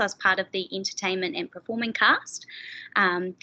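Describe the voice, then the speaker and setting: Speaking with a New Zealand accent, a woman keeps a moderate pace and fairly even intonation. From New Zealand, Dunedin. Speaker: physiotherapy student. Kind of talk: webinar presentation.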